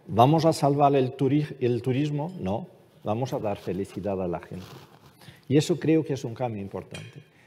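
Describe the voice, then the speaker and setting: This is a man speaking. His intonation is lively. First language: Portuguese (speaking Spanish). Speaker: ambassador. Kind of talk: panel discussion.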